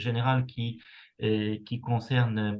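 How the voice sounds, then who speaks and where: A man talks at a very slow pace with a medium pitch. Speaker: university researcher. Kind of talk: lecture. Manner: hesitant, many fillers.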